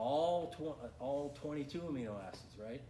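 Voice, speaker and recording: A man talks with ordinary pitch variation. Audible room echo surrounds his voice. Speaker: nutrition coach. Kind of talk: seminar lecture. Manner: fast.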